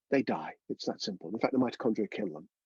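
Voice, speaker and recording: Very fast, lively speech from a man with vocal fry, in a dry, close sound with no echo. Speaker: breathwork teacher. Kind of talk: online workshop lecture. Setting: in a caravan.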